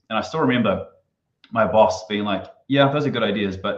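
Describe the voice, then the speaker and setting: Against audible room echo, a man with a New Zealand accent talks with ordinary pitch variation. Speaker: marketing consultant. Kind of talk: podcast interview.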